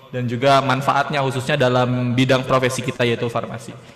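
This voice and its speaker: A man talks at a very fast pace with a medium pitch. His intonation is monotone and flat. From Indonesia. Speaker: pharmacy student moderator. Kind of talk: formal event hosting. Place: studio. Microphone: studio mic.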